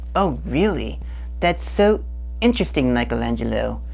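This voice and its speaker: A man performs a cartoonish character voice at a moderate pace. Clear background noise can be heard. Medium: puppet. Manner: goofy, playful.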